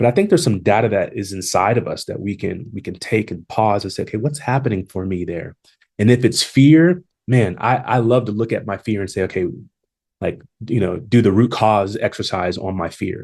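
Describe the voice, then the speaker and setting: Against a quiet background, a man talks at a fairly quick pace in a fairly low, somewhat breathy voice. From Long Beach, California. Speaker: HR executive and consultant. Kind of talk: podcast interview. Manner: halting with many repetitions; confident.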